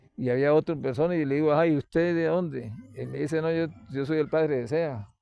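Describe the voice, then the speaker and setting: A man talks in a normal speaking voice at a fairly quick pace. His pitch is fairly high and varies in an ordinary way. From Venezuelan Andes (Mérida). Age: 60s. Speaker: retired teacher. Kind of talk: interview.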